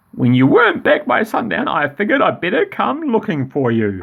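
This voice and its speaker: Using a put-on character voice, a man speaks at a fairly quick pace with a high pitch. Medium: read story. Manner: warm, folksy.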